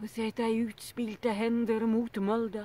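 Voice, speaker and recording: A woman speaks in a solemn tone, the sound dry with no echo. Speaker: poetry reader. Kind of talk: poem reading. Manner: slow, measured, solemn. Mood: calm, earnest. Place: garden. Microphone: phone near.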